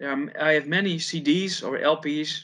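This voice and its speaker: A man speaks with a Dutch accent. His pitch is fairly high. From Netherlands. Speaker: heavy metal guitarist. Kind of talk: casual interview chat. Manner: halting, with repetitions.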